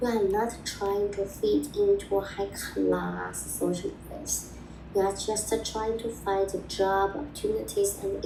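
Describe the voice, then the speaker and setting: A woman speaks with a Chinese accent at a very slow pace. Audible room echo surrounds her voice. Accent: Mandarin-accented English. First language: Mandarin. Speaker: video blogger on language learning. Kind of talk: personal advice talk. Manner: halting.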